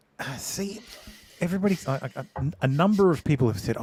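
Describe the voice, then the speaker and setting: A man's high voice in an Australian accent, lively in intonation and very fast. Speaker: podcast guest.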